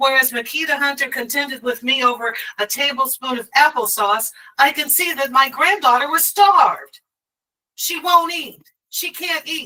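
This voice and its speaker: A woman with a high pitch and a bright, sharp tone projects her raised voice at a moderate pace, with ordinary pitch variation and big swings in loudness. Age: 60s. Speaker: grandmother and child welfare activist. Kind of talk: testimony. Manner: emotional, impassioned.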